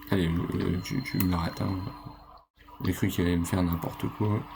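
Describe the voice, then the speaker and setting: A soft-spoken man with a very deep, low voice at very even loudness, fairly slow with long, frequent pauses, over noticeable background noise. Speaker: gaming YouTuber. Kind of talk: let's play commentary. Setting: home recording late at night. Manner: animated.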